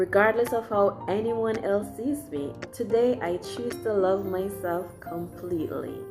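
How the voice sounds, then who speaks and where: Music plays in the background as a woman with a Jamaican accent speaks at a medium pitch. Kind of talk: motivational quote reading.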